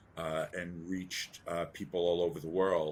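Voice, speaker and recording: A man with an American accent speaks in a very deep, low pitch, his intonation monotone and flat. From US Northeast (New York City). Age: 60s. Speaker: entrepreneur and investor. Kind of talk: interview.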